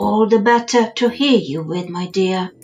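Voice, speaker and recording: Faint music plays in the background as a woman uses a gruff, put-on character voice at a medium pitch and a moderate pace. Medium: read story. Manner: sly.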